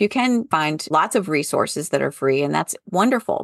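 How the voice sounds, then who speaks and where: A woman with an ordinary speaking voice talks at a moderate pace with lively intonation, the sound dry and close with no echo. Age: 50s. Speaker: podcast host and former college professor turned entrepreneur. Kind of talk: casual interview conversation.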